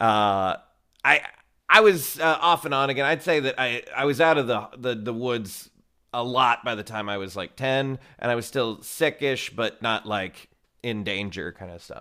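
Heard on a very clean recording with a silent background, a man with a bright, sharp tone and medium pitch speaks at a moderate pace, with ordinary pitch variation and big swings in loudness. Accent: Texan. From Texas. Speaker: improv teacher. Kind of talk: casual interview.

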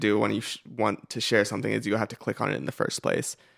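Very fast American-accented male speech with vocal fry, fairly low pitch and fairly even intonation. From US West Coast. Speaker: internet video creator. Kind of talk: interview conversation. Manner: halting, repeats words.

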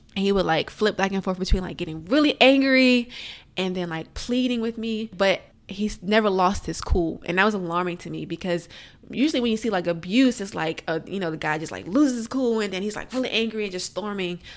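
A woman with an American accent and an ordinary speaking voice, medium in pitch, with ordinary pitch variation and a fairly quick pace, on a very clean recording with a silent background. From Alexandria, Virginia. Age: young. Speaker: domestic abuse survivor. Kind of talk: testimony.

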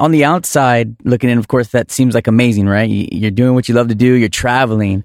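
A man with a normal speaking voice talks at a fairly quick pace and medium pitch, with ordinary pitch variation, very even loudness and hardly any pauses. The recording is very clean with a silent background, and the sound is dry and close with no echo. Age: 30s. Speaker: podcast host and DJ. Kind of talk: casual interview. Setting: recording studio.

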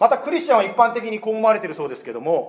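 Speech comes at a very fast pace. A man talks at a high pitch. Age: 30s. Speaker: pastor. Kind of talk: sermon. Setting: church.

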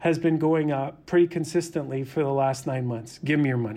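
Talking at a fairly quick pace, a man with an unremarkable speaking voice has a fairly high pitch and ordinary pitch variation. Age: 50s. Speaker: investment fund manager. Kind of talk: interview.

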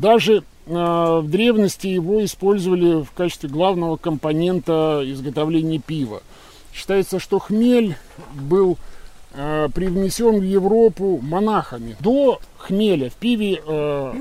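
High pitch for a man, fairly slow delivery and lively intonation in a male voice. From Russia, Kaliningrad. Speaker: farmer and forest guide. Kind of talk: guided nature walk interview. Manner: hesitant, many filler sounds.

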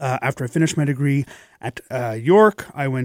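In an ordinary speaking voice, a man talks at medium pitch and a fairly quick pace with ordinary pitch variation, in a dry, close sound with no echo. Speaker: music director. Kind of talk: casual interview. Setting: studio.

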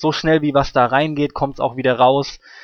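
A man speaks at a fairly high pitch and a moderate pace. The background is quiet. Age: 30s. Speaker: gaming podcast host. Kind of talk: casual chat.

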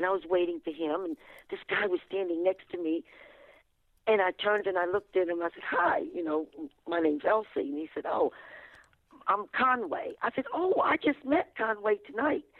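A woman's medium-pitched voice with a Virginia accent, very wide pitch swings, and long, frequent pauses. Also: moderate pace. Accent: Virginia Southern American. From US South, Fredericksburg, Virginia. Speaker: limousine driver and author. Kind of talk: radio interview, storytelling.

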